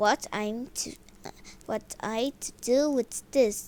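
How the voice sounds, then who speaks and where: Using a put-on character voice, a woman talks very slowly in a fairly high, rumbling voice. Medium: read story. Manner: grumbling, irritable.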